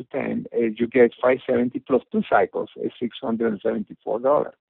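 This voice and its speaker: This man talks at a moderate pace. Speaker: network marketing company founder. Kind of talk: business presentation webinar. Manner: halting, many fillers.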